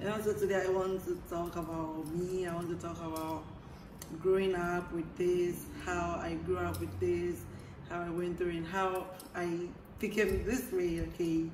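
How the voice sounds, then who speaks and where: A woman speaks fairly slowly at a fairly low pitch with monotone, flat intonation. Audible room echo and noticeable background noise are present. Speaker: vlogger. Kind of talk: casual monologue to camera.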